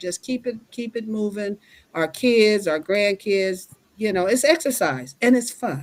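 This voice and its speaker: A woman speaks with an American accent and lively intonation. Her pace is fairly slow. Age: 60s. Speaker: line dance instructor. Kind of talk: interview. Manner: shy.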